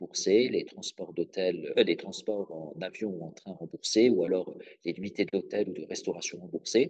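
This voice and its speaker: A man's voice in a dry, close sound with no echo. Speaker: legal trainer. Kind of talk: webinar presentation. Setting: online webinar. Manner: fast; hesitant, many fillers.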